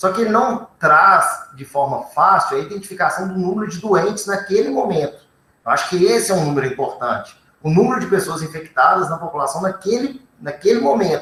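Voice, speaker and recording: Speaking in a raised, projected voice, a man delivers his lines at a fairly quick pace. His pitch is high, with lively intonation. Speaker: researcher on covid testing. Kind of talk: panel discussion answer.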